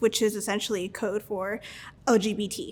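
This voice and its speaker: A woman with a fairly high pitch and fairly even intonation. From Los Angeles (South Central) and Mexico. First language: Spanish. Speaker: student and cybersecurity engineer. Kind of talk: interview. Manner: halting, frequent fillers.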